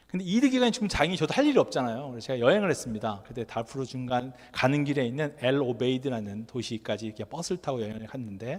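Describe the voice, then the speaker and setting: This man talks at a very fast pace, with hardly any pauses. His pitch is medium, and his intonation is lively. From Korea. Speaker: NGO worker and lecturer. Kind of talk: lecture. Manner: conversational.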